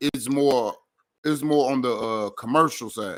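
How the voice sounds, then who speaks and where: Speaking at a fairly slow pace with a Memphis accent, a man at medium pitch comes through on a very clean recording with a silent background. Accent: Memphis accent, kept. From Memphis, Tennessee. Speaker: comedian, radio host. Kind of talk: casual chat.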